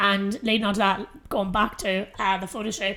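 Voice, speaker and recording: Speaking with a strong Irish accent, a woman uses a medium pitch. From Ireland. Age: 30s. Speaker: fitness coach and podcast host. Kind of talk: solo podcast monologue. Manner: casual, filler-heavy.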